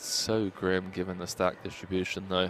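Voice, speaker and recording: Music plays in the background as a man speaks fairly slowly in a very deep, low pitch. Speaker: poker commentator. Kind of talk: live commentary. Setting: commentary booth.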